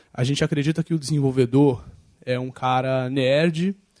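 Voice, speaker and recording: Dark and mellow, a male voice recorded dry and close without any echo. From Brazil. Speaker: open data speaker. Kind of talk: lecture. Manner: fast, excitable.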